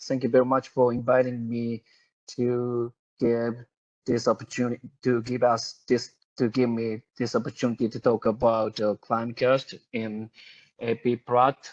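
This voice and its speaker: Speaking at a medium pitch with a Japanese accent, a man goes at a fairly slow pace in a dry, close sound with no echo. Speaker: climate researcher. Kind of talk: webinar presentation. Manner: halting, many fillers.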